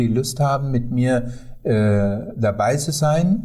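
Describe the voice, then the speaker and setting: Heard with audible room echo, a man with a Sri Lankan accent speaks at medium pitch in a dark, mellow, somewhat breathy tone with lively intonation. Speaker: tour guide. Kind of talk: interview. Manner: halting with many fillers.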